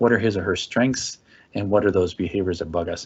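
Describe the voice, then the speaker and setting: A man speaks in a fairly low voice at a fairly quick pace. His intonation is fairly even. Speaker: social services parenting educator. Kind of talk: webinar presentation with Q&A. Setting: online webinar. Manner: fast.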